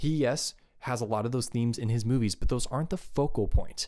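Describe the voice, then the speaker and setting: In a very clean recording with a silent background, a man speaks with an animated tone at medium pitch. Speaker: YouTube commentator. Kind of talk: casual commentary monologue.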